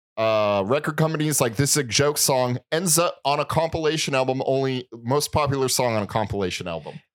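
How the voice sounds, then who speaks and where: A man talks fairly quickly in a normal speaking voice. His pitch is medium and varies in an ordinary way. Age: 30s. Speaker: podcast co-host. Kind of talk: casual chat. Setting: studio.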